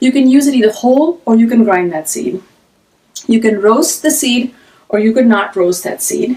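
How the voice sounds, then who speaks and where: A woman speaks at a fairly high pitch with lively intonation. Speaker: cooking teacher. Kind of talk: live-streamed cooking class. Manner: loud; fast when excited.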